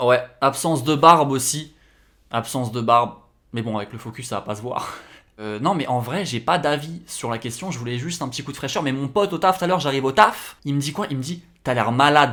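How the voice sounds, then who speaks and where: Bright and sharp in tone, this voice moves at a fairly quick pace with ordinary pitch variation and big swings in loudness. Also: man, fairly high pitch for a man. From France. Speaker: YouTuber and graphic designer. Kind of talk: casual vlog commentary. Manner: casual, conversational.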